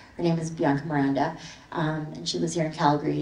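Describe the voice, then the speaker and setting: A woman speaks in a very deep, low voice with monotone, flat intonation. Audible room echo and noticeable background noise come through. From Canada, immigrated from the Philippines as a child. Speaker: visual artist. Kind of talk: artist talk with slides. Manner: casual, many fillers.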